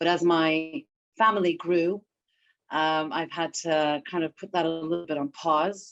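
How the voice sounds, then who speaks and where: Spoken at a fairly slow pace with a slight British accent, the voice keeps a fairly even intonation. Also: woman, fairly low pitch for a woman. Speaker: therapist and dance artist. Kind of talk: interview.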